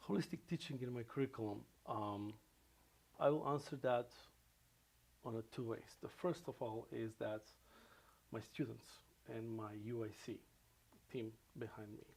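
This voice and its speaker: A man with a Macedonian accent speaks at a moderate pace and medium pitch in a somewhat breathy voice, with ordinary pitch variation and long, frequent pauses. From North Macedonia. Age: 40s. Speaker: professor. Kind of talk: interview. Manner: halting.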